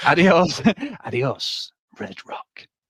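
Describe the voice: A man puts on a raspy, high-pitched character voice.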